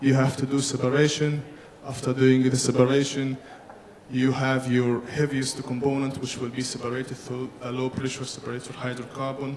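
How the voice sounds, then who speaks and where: Against noticeable background noise, a man speaks with monotone, flat intonation. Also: medium pitch for a man. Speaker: engineering conference presenter. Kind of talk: technical presentation. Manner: fast; halting, self-correcting.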